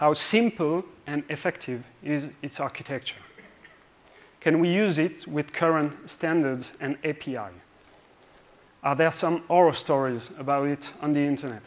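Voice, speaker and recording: Speaking at a fairly slow pace with long, frequent pauses, a man with a French accent has a fairly high pitch and ordinary pitch variation. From France. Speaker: software engineer. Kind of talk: conference talk. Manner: hesitant, many fillers.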